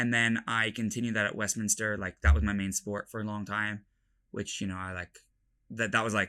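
A man speaks very fast in a fairly low pitch, his tone bright and sharp and his intonation fairly even. The recording is very clean with a silent background. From London. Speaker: college football player. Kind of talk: casual interview chat.

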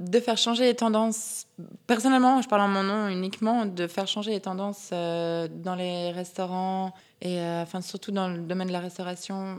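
An unremarkable speaking voice from a woman, medium in pitch, at a moderate pace. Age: 30s. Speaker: craft brewery partner. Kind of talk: interview.

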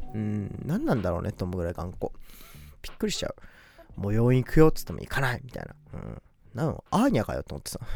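Big swings in loudness mark a man's speech at a very fast pace. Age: 20s. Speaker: podcast host. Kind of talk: casual solo talk.

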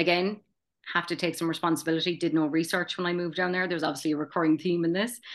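A woman with a strong Kerry accent, fairly low in pitch, monotone, flat intonation and a very fast pace, over a quiet background. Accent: strong Kerry Irish. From Ireland, County Kerry (Tralee). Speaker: charity president and gallery manager. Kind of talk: casual chat. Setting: video call.

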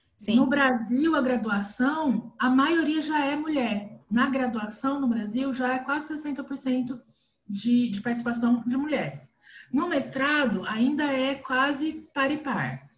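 A woman's high-pitched voice, very slow in pace, with ordinary pitch variation. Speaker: podcast host, behavior analyst. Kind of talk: casual chat.

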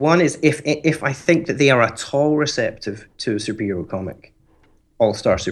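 A man with a plain, everyday voice speaks at a moderate pace, his fairly high pitch moving in lively intonation. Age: 30s. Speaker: comics podcaster. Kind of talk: casual chat. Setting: online call.

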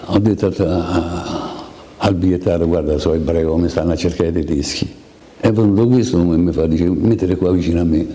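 A man talks at a fairly quick pace in a very deep, low pitch, his intonation fairly even and his loudness very even. Noticeable background noise and audible room echo fill the recording. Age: 80s+. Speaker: Holocaust survivor. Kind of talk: testimony.

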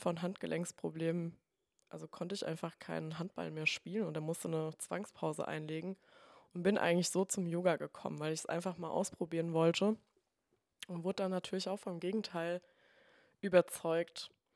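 Speaking at a moderate pace with long, frequent pauses, a woman uses a monotone, flat intonation in a fairly low voice. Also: dry, close sound with no echo. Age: 20s. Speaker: yoga teacher and physiotherapist. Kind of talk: casual interview.

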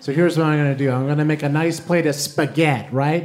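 A man talks at a fairly quick pace in a fairly high voice, with noticeable noise in the background. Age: 30s. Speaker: comedy writer and stand-up comedian. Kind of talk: stand-up. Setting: stage with audience.

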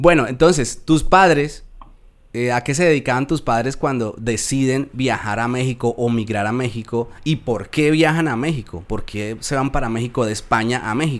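A man with a Colombian accent, medium in pitch. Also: ordinary pitch variation, moderate pace. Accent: Colombian, well preserved. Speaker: podcast host, immigrant. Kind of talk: interview.

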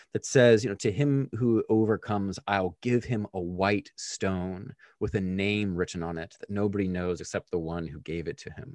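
An ordinary speaking voice from a man, fairly low in pitch, at a moderate pace, with a dry, close sound with no echo and a quiet background. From Pennsylvania, US. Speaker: PhD student in ethics. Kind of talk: interview.

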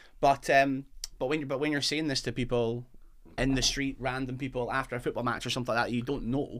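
In a Fife accent, a man rattles along at a very fast pace with a medium pitch and a monotone, flat intonation. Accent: Scottish, Fife. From Fife, Scotland. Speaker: football fan. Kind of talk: casual chat. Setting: studio.

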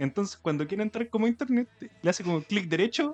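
A man's high-pitched voice with lively intonation, dry and close with no echo. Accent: Chilean. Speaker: podcast co-host. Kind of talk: casual chat.

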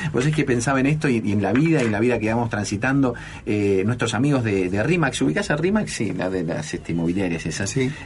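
Over noticeable background noise and audible room echo, a medium-pitched man talks at a very fast pace with lively intonation. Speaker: radio host. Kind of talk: radio interview. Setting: radio studio. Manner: halting, many fillers.

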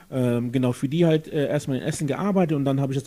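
A man talks at a very fast pace in a dark, mellow tone. His voice is somewhat breathy, with ordinary pitch variation. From Germany, Jülich. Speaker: guest, political supporter. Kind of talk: casual interview. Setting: friend's apartment.

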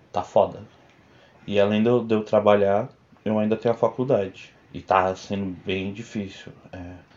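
The intonation stays monotone and flat at a moderate pace. Long pauses come often. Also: man, fairly low pitch for a man. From Brazil, São Bernardo do Campo (São Paulo). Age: 20s. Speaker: video editor, host's partner. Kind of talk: casual chat.

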